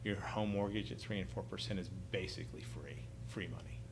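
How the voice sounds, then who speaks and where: A man's fairly low voice with vocal fry, very wide pitch swings, and audible room echo. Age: 40s. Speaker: private real estate lender. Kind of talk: podcast interview.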